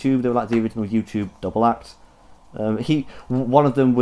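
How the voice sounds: The voice reads naturally, and its intonation stays fairly even.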